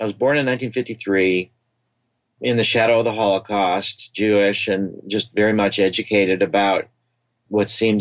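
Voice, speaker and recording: In an American accent, a man talks at a moderate pace with a fairly low pitch. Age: 60s. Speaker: psychedelic researcher, nonprofit founder. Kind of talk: podcast interview. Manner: hesitant, with filler words.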